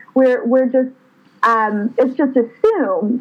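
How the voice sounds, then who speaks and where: Over noticeable background noise, a woman with an American accent speaks at a fairly slow pace and a high pitch. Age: 30s. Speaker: women's advocacy leader. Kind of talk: casual chat.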